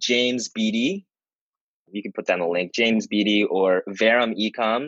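Here is a man with an unremarkable speaking voice. He talks at a moderate pace and a medium pitch. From US Northeast, suburbs of Philadelphia. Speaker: online business owner. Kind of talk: interview. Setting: video call.

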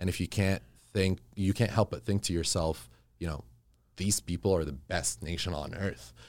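A man's very deep, low voice with vocal fry, ordinary pitch variation and a moderate pace, on a very clean recording with a silent background. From Middle East. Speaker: real estate developer and architect. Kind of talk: casual chat. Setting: studio.

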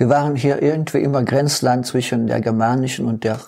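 Noticeable background noise behind a man's fairly evenly intoned voice at a medium pitch. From East Belgium (German-speaking community, St. Vith). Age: 70s. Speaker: retired mayor. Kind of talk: interview.

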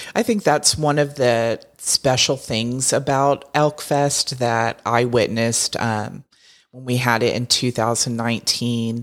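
The recording is very clean, its background silent. The talking proceeds fairly slowly. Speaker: podcast co-host, visitor center staff. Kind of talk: casual chat.

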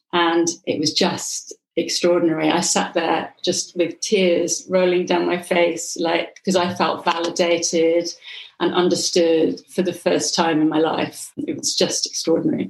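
A woman talks at a fairly slow pace with fairly even intonation in a plain, everyday voice. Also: fairly low pitch for a woman, very even loudness. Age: 50s. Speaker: hypnotherapist and coach. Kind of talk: interview.

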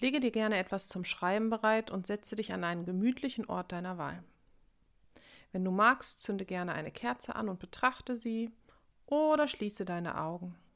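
A woman has an ordinary speaking voice at a medium pitch. Her intonation is lively. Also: very clean recording, silent background. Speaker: meditation guide. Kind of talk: guided meditation. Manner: slow, calm, soothing; gentle, reflective, warmly intimate.

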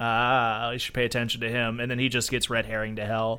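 In an American accent, the voice moves at a fairly quick pace with a bright, sharp tone and monotone, flat intonation in a very clean recording with a silent background. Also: man. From Florida. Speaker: podcast co-host. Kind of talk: casual chat.

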